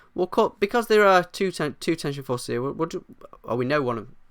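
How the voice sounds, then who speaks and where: A man mumbles in a put-on character voice, high-pitched with very wide pitch swings and a very fast pace, in a very clean recording with a silent background. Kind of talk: teaching physics, thinking aloud. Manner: mumbling.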